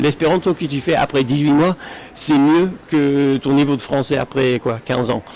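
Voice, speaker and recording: Fairly slow speech from a man at a fairly high pitch, with ordinary pitch variation and noticeable background noise. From Britain. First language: English (speaking French). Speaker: Esperanto speaker. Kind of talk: public talk. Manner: halting, many fillers and restarts.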